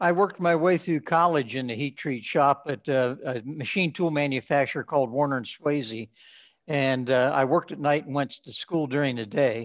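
Moderate pace and ordinary pitch variation with an American accent, against a quiet background. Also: man, fairly high pitch for a man. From southeastern Ohio. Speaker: metallurgical engineer and heat treat executive; podcast guest. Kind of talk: interview. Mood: calm, reflective. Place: home room. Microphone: webcam.

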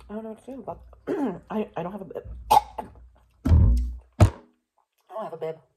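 A woman at a moderate pace, with long, frequent pauses and big swings in loudness, over music in the background. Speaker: mukbang creator. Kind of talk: eating show vlog. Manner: halting.

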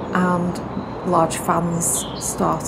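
A woman speaks over loud background noise. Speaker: narrowboat vlogger. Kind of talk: casual vlog chat. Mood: relaxed, positive. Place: boat.

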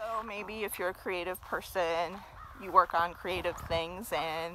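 Against noticeable background noise, a woman speaks at a fairly slow pace with fairly even intonation, in a dry sound with no echo. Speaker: vlogger. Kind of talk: casual vlog chat. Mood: reflective, occasional laughs. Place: forest. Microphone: phone near.

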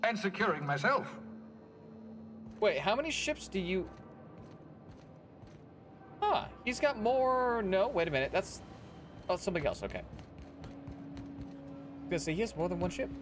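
Long pauses come often in this speech, with faint music playing in the background. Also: man, fairly slow pace. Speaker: game streamer. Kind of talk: casual gameplay commentary. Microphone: headset.

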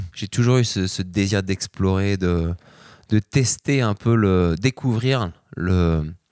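Speaking very slowly against a quiet background, a man with a fairly low pitch uses ordinary pitch variation, and the sound is dry with no echo. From France. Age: 30s. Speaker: extreme sports athlete; interview guest. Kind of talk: interview. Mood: relaxed, reflective. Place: home room. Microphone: handheld.

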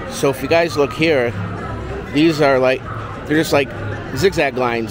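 A man speaks with music playing in the background. The sound is dry, with no echo. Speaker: vlogger. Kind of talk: casual vlog chat. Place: hall. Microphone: phone near.

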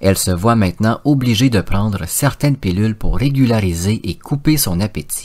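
In an English accent, a man with a fairly low pitch speaks at a moderate pace with lively intonation. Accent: English-speaking accent in French. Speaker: podcast host. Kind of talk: scripted narration.

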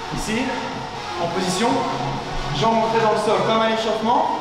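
Clear music plays behind a man whose voice carries strong room echo. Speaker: fitness coach. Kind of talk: workout instruction. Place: gym.

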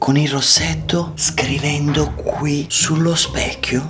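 Over clear background music, a man speaks at a very slow pace. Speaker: kids' channel vlogger. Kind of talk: playful vlog chat to camera. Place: home room. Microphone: phone near.

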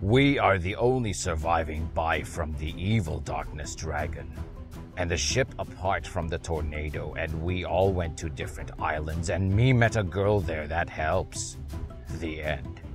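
Someone does a put-on character voice at a moderate pace. Clear music plays in the background. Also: man, very deep, low pitch for a man. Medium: read story. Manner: earnest, rambling.

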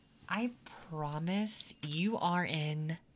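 The speaker is soft-spoken and talks at a very slow pace over light background noise. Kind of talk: ASMR roleplay, soft intimate talk. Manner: soft, close ASMR roleplay voice.

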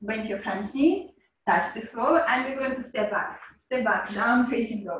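A woman with a normal speaking voice talks at a fairly high pitch, her pitch varying in an ordinary way. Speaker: yoga teacher. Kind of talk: guided yoga class instruction. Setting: video call. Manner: calm, soothing.

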